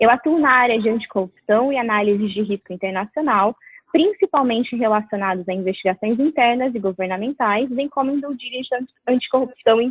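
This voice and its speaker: Her pitch sits fairly high and varies in an ordinary way. The woman talks at a fairly quick pace. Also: hardly any pauses. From Brazil. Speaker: lawyer. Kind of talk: webinar presentation. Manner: formal.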